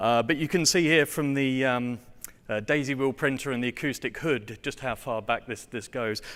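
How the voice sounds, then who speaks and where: A man talks with an English accent at medium pitch and a moderate pace, using ordinary pitch variation. The recording is very clean, with a silent background. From England. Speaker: software test automation engineer. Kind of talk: conference presentation. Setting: stage with audience. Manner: hesitant, many fillers.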